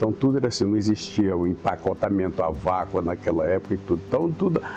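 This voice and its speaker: A man speaks at a very fast pace in a very deep, low pitch, with ordinary pitch variation and very even loudness. Music plays in the background. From Brazil, Araguatins, Tocantins. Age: 70s. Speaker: local elder interviewee. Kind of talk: oral history interview.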